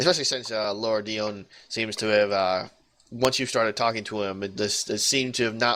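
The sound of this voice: The speaker uses an unforced reading voice. Intonation stays fairly even.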